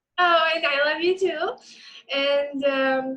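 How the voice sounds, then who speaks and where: A woman with a Georgian accent speaks in a raised, projected voice, high in pitch. Her tone is bright and sharp. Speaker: social media manager. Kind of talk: casual chat. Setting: video call.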